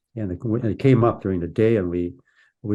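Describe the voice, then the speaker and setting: In an Upper Midwest accent, a man speaks with fairly even intonation and a dark, mellow tone. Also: quiet background. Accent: Upper Midwest American. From US Midwest, Minnesota. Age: 70s. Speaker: polar explorer. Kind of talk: interview. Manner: halting, many repeats.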